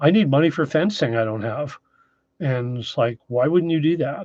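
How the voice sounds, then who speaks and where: A man with a Canadian Maritime accent talks with lively intonation. His fairly high voice is heard over a quiet background. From Maritime Canada, New Brunswick. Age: 60s. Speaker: off-grid YouTuber. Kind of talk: live stream chat. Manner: casual, hesitant with fillers.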